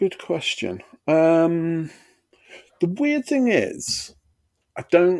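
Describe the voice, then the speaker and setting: With an East Midlands accent, a man speaks in very wide pitch swings. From Derbyshire, England. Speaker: comedian and comedy promoter. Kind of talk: casual chat. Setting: video call.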